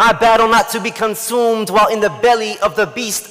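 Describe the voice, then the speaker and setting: High male speech at a moderate pace amid noticeable background noise. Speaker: spoken word poet. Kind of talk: spoken word poetry performance. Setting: live event stage.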